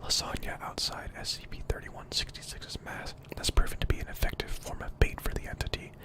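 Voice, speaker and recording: The speaker whispers at a fairly quick pace. Noticeable background noise sits behind the voice. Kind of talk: softly spoken ASMR reading of a horror story. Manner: soft-spoken, quiet.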